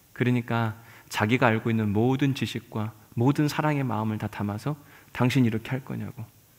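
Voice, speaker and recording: On a very clean recording with a silent background, a man with an unremarkable speaking voice talks at a fairly quick pace, medium pitch and fairly even intonation. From South Chungcheong, Yesan. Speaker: pastor. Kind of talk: sermon.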